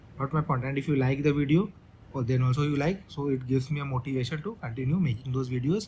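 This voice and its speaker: Delivery is very fast, in a dark, mellow tone that is somewhat breathy. The pitch varies in an ordinary way. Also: man. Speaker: maths teacher. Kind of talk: lecture. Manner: halting.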